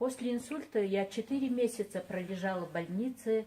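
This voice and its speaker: A somewhat breathy woman at medium pitch, with ordinary pitch variation and a fairly slow pace. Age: 60s. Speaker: product user giving a testimonial. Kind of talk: testimony. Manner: halting.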